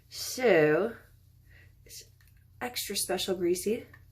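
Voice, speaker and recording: The woman is soft-spoken. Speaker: beauty vlogger. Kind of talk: tutorial. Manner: hesitant, many fillers.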